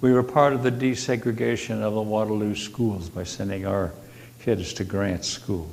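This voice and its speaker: Lively intonation and a moderate pace mark this voice in an American accent, with audible room echo. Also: man. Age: 80s+. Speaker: congregation member, retired farmer. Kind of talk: personal talk at a church service. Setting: church service, seated.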